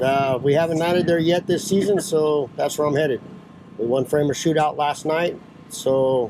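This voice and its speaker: Fairly high male voice over noticeable background noise. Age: 40s. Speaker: dirt track racer. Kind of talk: casual interview at race pits. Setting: outdoors at a racetrack. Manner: hesitant with many uh fillers.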